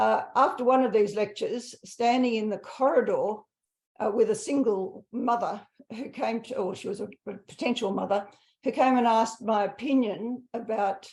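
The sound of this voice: A woman talks at a fairly high pitch and a moderate pace. Her tone is slightly mellow, and her pitch varies in an ordinary way.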